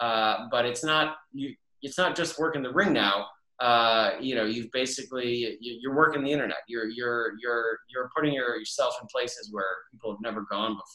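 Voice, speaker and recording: A man talks at a moderate pace with ordinary pitch variation. The background is quiet. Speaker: comic book writer. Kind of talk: interview host talk. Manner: casual, hesitant. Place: home room. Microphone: webcam.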